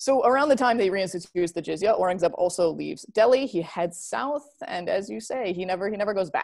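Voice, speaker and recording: A woman with a Midwestern American accent talks at a fairly quick pace with hardly any pauses. Her pitch is medium and her intonation lively. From US Midwest. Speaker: historian and author. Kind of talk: academic discussion. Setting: video call.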